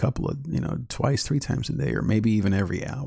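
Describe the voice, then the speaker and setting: A man's fairly low voice with a dark, mellow tone, vocal fry and lively intonation. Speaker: YouTube channel host, Enneagram teacher. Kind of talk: live-stream teaching talk. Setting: live stream.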